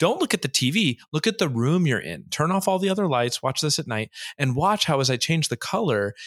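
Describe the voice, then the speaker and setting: On a very clean recording with a silent background, a man with vocal fry talks at a very fast pace in a fairly high voice. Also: dry, close sound with no echo. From Orange County, California (also Hawaii). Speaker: crypto community organizer. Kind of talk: casual interview. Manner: explanatory, teacherly.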